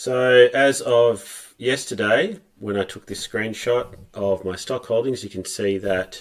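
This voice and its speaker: Relaxed in tone, a man with an Australian accent and a medium pitch talks at a very slow pace with big swings in loudness, in a very clean recording with a silent background. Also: ordinary pitch variation. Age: middle-aged. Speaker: personal investor, video blogger. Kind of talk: casual talk to camera. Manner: relaxed, with fillers.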